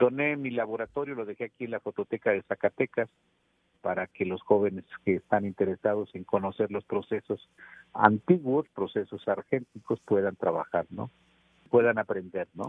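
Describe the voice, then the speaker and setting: His loudness swings widely as this man talks at a moderate pace, with a medium pitch and ordinary pitch variation. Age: 60s. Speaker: photojournalist. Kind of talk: interview. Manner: hesitant, with fillers.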